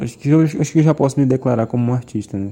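The speaker is a man. His tone is dark and mellow. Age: 20s. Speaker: podcast host, photographer. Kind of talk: casual solo monologue.

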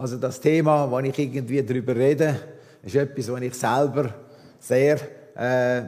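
A man speaks at a fairly slow pace in a medium pitch, his intonation fairly even, with audible echo in the room. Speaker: visiting preacher, former missionary. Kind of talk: sermon. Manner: halting.

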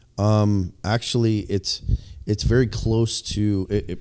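With an American accent, a man speaks in a fairly low pitch and a dark, mellow tone. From Illinois. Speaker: podcast co-host. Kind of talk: casual chat.

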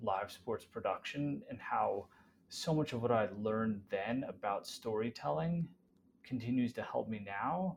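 This man speaks in a normal speaking voice at a medium pitch, with ordinary pitch variation and a fairly slow pace. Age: 40s. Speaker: content creator and marketing executive. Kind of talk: casual interview chat.

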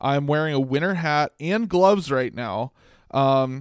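In a very clean recording with a silent background, a man with a normal speaking voice talks fairly slowly at a fairly high pitch. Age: 20s. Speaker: sports podcast co-host. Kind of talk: casual chat.

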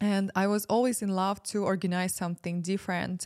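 In a very clean recording with a silent background and a dry, close sound with no echo, a woman with a Ukrainian accent talks at a medium pitch and a moderate pace with fairly even intonation. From Ukraine. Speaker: spiritual ceremony facilitator. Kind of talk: casual chat.

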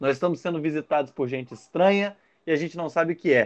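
Fairly quick speech from a man, pitch varying an ordinary amount. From Rio de Janeiro state, Barra Mansa. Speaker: football pundit. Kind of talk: casual chat.

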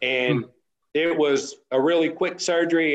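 A man with a West Texas accent speaks very slowly, with fairly even intonation and a fairly high pitch. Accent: West Texas drawl. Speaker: off-road racer. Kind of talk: casual chat.

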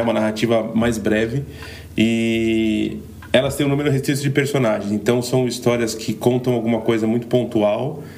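A man with ordinary pitch variation, amid audible room echo and noticeable background noise. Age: 30s. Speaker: podcast co-host. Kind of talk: casual chat.

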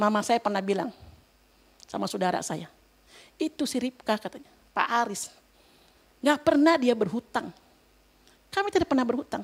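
A high-pitched woman speaks at a fairly quick pace with very wide pitch swings and long, frequent pauses, in a dry, close sound with no echo. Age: 60s. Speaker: lay preacher. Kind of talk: sermon. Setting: church. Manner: animated.

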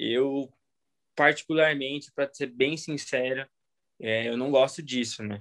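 Ordinary pitch variation marks this fairly slow delivery. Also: man. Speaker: motocross racer. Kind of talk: interview.

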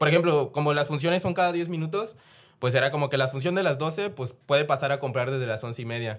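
A man talks in a normal speaking voice with a fairly high pitch and ordinary pitch variation at a fairly quick pace. The recording is very clean, the background silent. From Mexico, Chiapas. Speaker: former cinema employee. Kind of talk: casual chat.

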